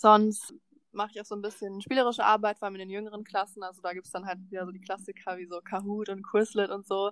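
Dry and close with no echo, the recording has a woman speaking at a very fast pace in a monotone, flat intonation. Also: medium pitch for a woman, big swings in loudness, very clean recording, silent background. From Berlin, Germany. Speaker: volunteer language assistant. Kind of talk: casual chat.

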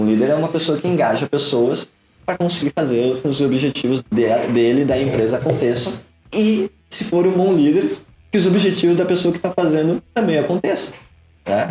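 A man with an ordinary speaking voice, fairly high pitch and lively intonation, at a moderate pace with very even loudness. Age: 20s. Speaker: digital entrepreneur. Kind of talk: casual interview.

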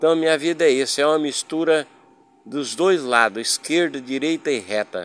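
A man with a normal speaking voice talks at a moderate pace. His pitch is fairly high, with ordinary pitch variation. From Paraná, Brazil. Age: 60s. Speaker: podcaster. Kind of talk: personal storytelling monologue.

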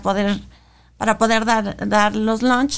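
A woman's fairly high-pitched, normal speaking voice with fairly even intonation. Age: 40s. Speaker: advertising agency director and activist. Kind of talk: interview testimony.

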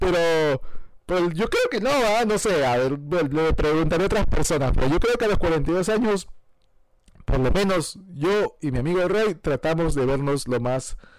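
His intonation is lively. The man's pitch sits high. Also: fairly slow pace. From Peru. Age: 40s. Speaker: film commentary podcaster. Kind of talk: casual solo podcast monologue. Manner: hesitant, many fillers.

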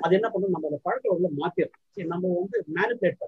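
A man is speaking. His pitch is high. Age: old. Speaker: retired professor, bird researcher. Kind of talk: Q&A session answers.

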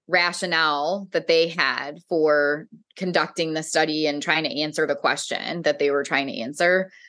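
An unremarkable speaking voice at a fairly slow pace, with fairly even intonation and a quiet background. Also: woman. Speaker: behavior analyst. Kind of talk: casual chat.

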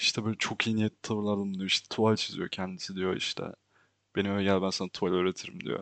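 A man's fairly low, monotone, flat voice at a very fast pace. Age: 20s. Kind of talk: personal monologue. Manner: casual, frequent laughter. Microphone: new microphone.

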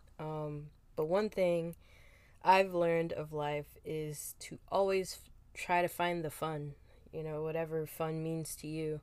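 A woman's very deep, low voice with a Philadelphia accent, flat monotone delivery, a fairly slow pace and big swings in loudness. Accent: Philadelphia American English. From Philadelphia, US. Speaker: podcast host. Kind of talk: casual chat.

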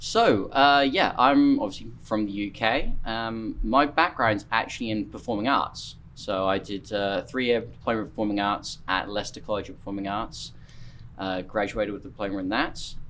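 Fairly low male pitch, fairly even intonation and a moderate pace, on a very clean recording with a silent background. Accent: East Anglian. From Norfolk, eastern England. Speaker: CrossFit coach and competition judge. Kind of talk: casual interview chat.

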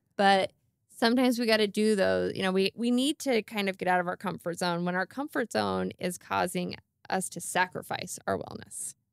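In an unremarkable speaking voice, a woman talks at a medium pitch and moderate pace, with a dry, close sound and no echo. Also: ordinary pitch variation. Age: 40s. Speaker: podcast host, nutrition coach. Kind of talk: casual chat.

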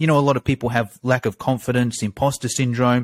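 Captured in a very clean recording with a silent background, a man with an Australian accent speaks at a medium pitch. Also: dry, close sound with no echo. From Australia, Sydney; Greek parents. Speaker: fitness marketing coach. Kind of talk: podcast interview.

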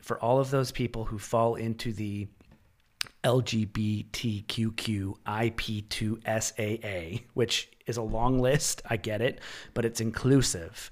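A man with a Canadian accent and an unremarkable speaking voice, medium in pitch, fairly even in intonation and fairly slow in pace. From Canada. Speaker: podcast host. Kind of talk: casual interview conversation.

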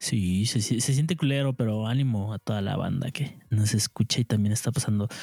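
A man with a Mexican accent, somewhat breathy with a dark, mellow tone, ordinary pitch variation and a fairly quick pace, in a dry, close recording with no echo and a very clean, silent background. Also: medium pitch for a man. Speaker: podcast co-host. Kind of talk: casual chat.

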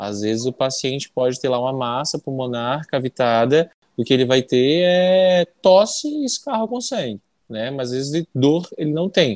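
Using an ordinary speaking voice, a man talks at a medium pitch and moderate pace with lively intonation. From Amazonas, Brazil (interior). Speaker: pulmonologist. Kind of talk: interview.

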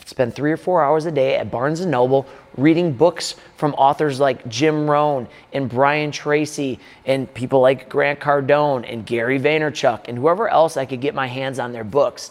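In an American accent, a man with a normal speaking voice, fairly high in pitch, speaks at a moderate pace with fairly even intonation. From Wisconsin, Milwaukee. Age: 30s. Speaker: strength coach and gym owner. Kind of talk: casual talking-head video monologue. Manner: casual, conversational.

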